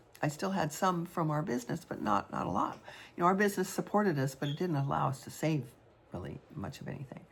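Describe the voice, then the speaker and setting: A woman talks at a very fast pace in a very deep, low voice. Her intonation is lively, and vocal fry comes through. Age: 70s. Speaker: artist and widow vlogger. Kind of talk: personal vlog monologue. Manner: halting, many fillers.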